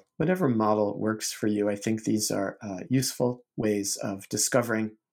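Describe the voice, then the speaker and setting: Calm tone with ordinary pitch variation. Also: man. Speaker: Zen teacher and podcast host. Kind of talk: poem reading aloud, measured and contemplative; guided meditation and talk. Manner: slow, reflective, soft-spoken, with pauses between lines; calm, unhurried, hesitant with fillers.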